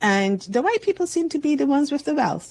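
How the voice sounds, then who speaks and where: Somewhat breathy, a woman speaks against a quiet background. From Barbados. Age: 60s. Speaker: community advocate. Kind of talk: interview. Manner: halting, many restarts.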